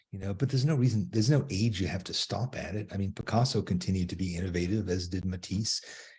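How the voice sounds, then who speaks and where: Against a quiet background, a man with a fairly low pitch and a dark, mellow tone speaks very fast with hardly any pauses, his somewhat breathy voice showing ordinary pitch variation. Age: 80s+. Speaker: artist and art teacher. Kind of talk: casual interview. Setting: live stream on social media.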